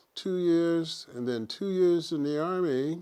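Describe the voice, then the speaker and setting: With an American accent, a man talks at a very slow pace and with ordinary pitch variation. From Virginia and Pennsylvania, US. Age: 80s+. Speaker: retired music educator. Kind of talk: personal testimony. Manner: halting.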